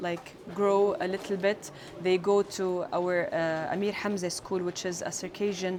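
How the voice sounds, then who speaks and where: Noticeable background noise surrounds a woman speaking at a fairly slow pace. Her medium-pitched voice stays in a flat monotone. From Jordan. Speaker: folk singer. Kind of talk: interview testimony. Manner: hesitant, many fillers.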